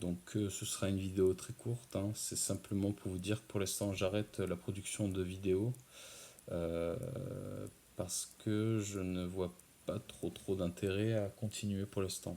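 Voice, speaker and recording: Soft-spoken, a man talks fairly slowly in a fairly low pitch. His tone is dark and mellow, and his intonation is monotone and flat. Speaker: ASMR creator. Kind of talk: casual talk to camera. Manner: hesitant, many filler sounds.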